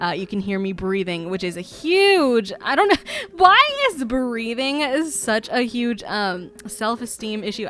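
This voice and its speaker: Noticeable background noise fills the clip. A woman talks through it. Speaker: YouTuber, game builder. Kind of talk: voiceover commentary. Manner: halting, many fillers.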